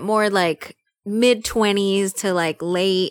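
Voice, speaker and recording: With a Spanish accent, the voice comes through with a dry, close sound and no echo. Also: woman. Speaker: podcast host. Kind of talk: casual chat.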